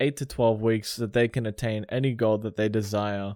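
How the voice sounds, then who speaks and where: Here a man speaks in an Australian accent with a dark, mellow tone. The sound is dry and close with no echo, on a very clean recording with a silent background. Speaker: personal trainer and podcast host. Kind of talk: casual monologue. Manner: animated.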